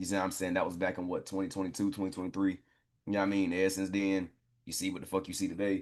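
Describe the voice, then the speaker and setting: Over a quiet background, a man with a very deep, low pitch talks at a very fast pace. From US South, Durham, North Carolina. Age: 20s. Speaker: trading educator. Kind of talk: casual live call talk. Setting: group call. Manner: animated.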